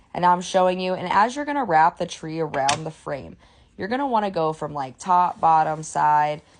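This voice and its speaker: This woman speaks at a fairly low pitch with lively intonation. The background is quiet. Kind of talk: tutorial. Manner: fast.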